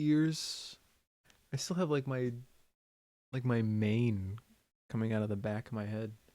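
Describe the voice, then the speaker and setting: A man's medium-pitched, dark and mellow voice, fairly slow, with lively intonation, in a very clean recording with a silent background. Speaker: sound designer streamer. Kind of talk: casual live stream commentary while working. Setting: live stream from home studio. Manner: casual, rambling.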